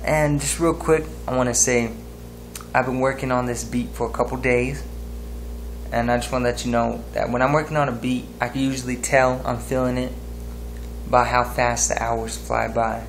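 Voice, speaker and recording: With light background noise, a man talks at a moderate pace, taking long, frequent pauses. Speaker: music maker vlogger. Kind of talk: casual vlog chat. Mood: happy, excited. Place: home room. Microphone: webcam.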